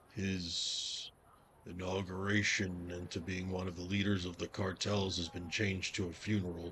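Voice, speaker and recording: A man's put-on character voice, very deep and low in pitch. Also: moderate pace. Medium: actual play. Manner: casual, wry.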